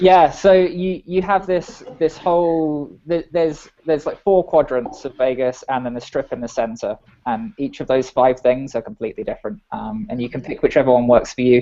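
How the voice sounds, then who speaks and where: A man's fairly high voice with lively intonation and hardly any pauses. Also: moderate pace. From England. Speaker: software engineer. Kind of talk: casual chat.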